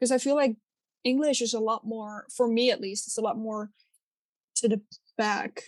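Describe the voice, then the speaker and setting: A woman with a Dutch accent, fairly high-pitched, at a moderate pace with long, frequent pauses, fairly even intonation, and a dry, close sound with no echo. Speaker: podcast co-host. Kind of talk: casual chat.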